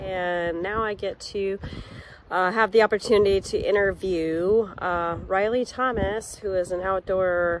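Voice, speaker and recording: With an American accent, a woman talks at a fairly slow pace with ordinary pitch variation, in a dry sound with no echo and light background noise. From Montana. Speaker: career counseling organization director. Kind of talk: vlog narration. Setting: outdoors. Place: open country. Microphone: phone near.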